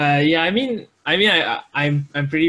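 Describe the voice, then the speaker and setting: With a Malaysian accent, a man talks at a moderate pace in a fairly high pitch. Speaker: YouTuber making music compilations. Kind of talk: podcast interview. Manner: halting, many fillers and repeats.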